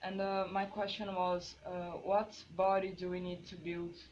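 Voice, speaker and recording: A woman speaks fairly slowly with flat, monotone intonation. Room echo is audible. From Brazil. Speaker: visual artist. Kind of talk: artist talk presentation. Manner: hesitant, many fillers.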